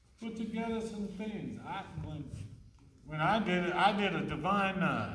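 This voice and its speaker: In a space with audible room echo, a man talks at a fairly slow pace. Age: old. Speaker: city mayor. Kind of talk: Q&A talk to students after a play.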